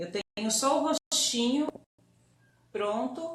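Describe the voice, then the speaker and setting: A soft-spoken woman's high voice at a very slow pace. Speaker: doll-making teacher. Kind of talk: live online tutorial. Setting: Instagram live stream.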